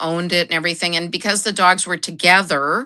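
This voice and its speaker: A woman with an American accent speaks in a bright, sharp tone with fairly even intonation. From United States. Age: 50s. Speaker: junk journal crafter. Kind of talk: casual interview chat.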